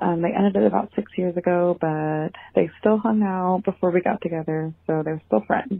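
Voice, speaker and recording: With an unremarkable speaking voice, a woman of fairly low pitch talks at a moderate pace with ordinary pitch variation and hardly any pauses. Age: 20s. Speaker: listener leaving voicemail. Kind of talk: voicemail question. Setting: phone voicemail.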